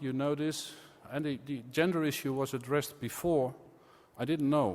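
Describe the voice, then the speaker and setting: Audible room echo surrounds the voice. It moves at a moderate pace with fairly even intonation. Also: man. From Netherlands. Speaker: conference speaker. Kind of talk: conference presentation.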